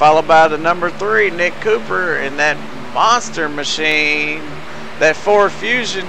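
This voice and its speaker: Fairly slow speech from a man with a fairly high pitch and lively intonation, plus audible room echo and noticeable background noise. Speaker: sim racing broadcaster. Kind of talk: live race commentary.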